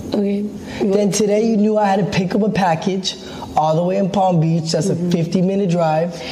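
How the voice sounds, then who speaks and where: Over light background noise, a woman talks at a moderate pace with a fairly low pitch and fairly even intonation. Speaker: streamer. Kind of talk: heated personal argument on a live stream. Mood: upset, confrontational. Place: home room. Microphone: camera far.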